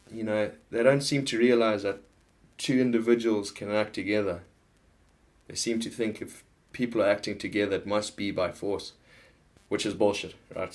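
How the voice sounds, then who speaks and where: A man with a Zimbabwean accent speaks at a moderate pace, his fairly low voice carrying fairly even intonation. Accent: Zimbabwean accent noticeable. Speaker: political vlogger. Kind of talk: casual monologue. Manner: halting, many false starts.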